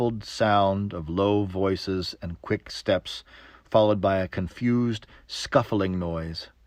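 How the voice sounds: This is a natural reading voice. Nothing else is noted.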